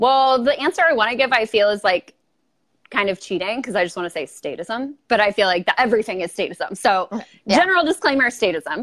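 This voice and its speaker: A woman in a Southern Californian accent, fairly high in pitch with very wide pitch swings, at a fairly quick pace, dry and close with no echo. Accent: Valley Girl. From Los Angeles, California. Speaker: YouTuber and political commentator. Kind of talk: casual interview. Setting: video call.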